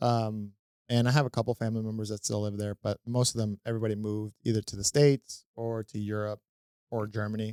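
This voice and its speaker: A man with a Spanish accent talks at a very fast pace in a fairly low, dark, mellow, monotone voice, recorded dry and close with no echo on a very clean recording with a silent background. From Venezuela, then Fort Lauderdale, Florida from age seven. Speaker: comedian and real estate investor. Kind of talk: casual interview chat.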